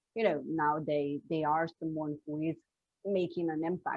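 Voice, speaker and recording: In a Slovene accent, a woman speaks at a moderate pace. Her pitch is very deep and low, and her intonation stays monotone and flat. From Slovenia. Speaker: business coach. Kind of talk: interview conversation. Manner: halting.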